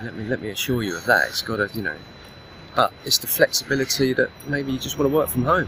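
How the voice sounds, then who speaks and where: Over noticeable background noise, a man talks very fast in a dry sound with no echo. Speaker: online business coach. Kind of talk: vlog monologue. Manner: casual, rambling. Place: waterside. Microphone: phone near.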